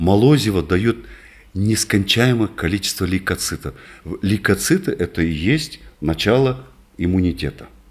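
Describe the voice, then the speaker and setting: A man's fairly low, somewhat breathy voice at a moderate pace, with lively intonation and long, frequent pauses. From northern Kazakhstan. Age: 60s. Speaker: doctor, rehabilitation specialist; guest. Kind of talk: interview. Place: office. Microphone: studio mic.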